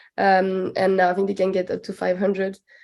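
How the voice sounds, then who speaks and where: Fairly quick and monotone, a woman speaks in a French accent with a medium pitch, a dark, mellow tone and flat intonation. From France, Alps village near Switzerland. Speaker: PhD student, researcher. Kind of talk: podcast interview. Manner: halting, many fillers.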